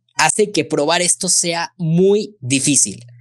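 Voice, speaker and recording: Against a quiet background, a man speaks at a high pitch. His intonation is lively. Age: 20s. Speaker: lawyer; guest. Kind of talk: expert explanation in interview. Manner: halting, repeats words. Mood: explanatory, friendly. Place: home room. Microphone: studio mic.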